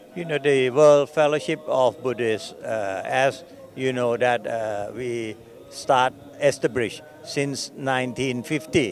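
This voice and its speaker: A man with a Thai accent, very slow pace, medium pitch and ordinary pitch variation. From Thailand. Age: 70s. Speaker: Buddhist organization president. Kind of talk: interview. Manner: halting.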